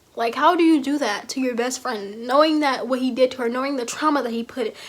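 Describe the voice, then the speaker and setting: The voice is loud. Its pitch varies in an ordinary way. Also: woman. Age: 20s. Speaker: youtuber. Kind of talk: casual commentary vlog.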